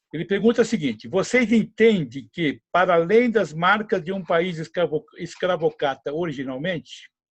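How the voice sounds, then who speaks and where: This man talks at a moderate pace in a high pitch. The rise and fall of his pitch is ordinary. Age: 70s. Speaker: podcast host, retired civil engineer. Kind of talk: casual panel discussion.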